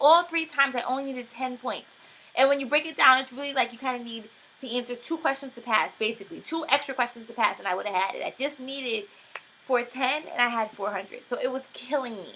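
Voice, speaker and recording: Raising and projecting her high voice, a woman talks at a very fast pace with ordinary pitch variation and big swings in loudness amid noticeable background noise. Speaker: homeschooled student. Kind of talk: casual talk to camera.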